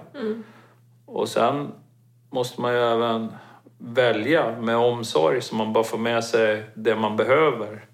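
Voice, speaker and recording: In a room with audible echo, a man at medium pitch talks at a very slow pace with fairly even intonation and long, frequent pauses. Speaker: mountaineering expedition participant. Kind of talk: casual interview.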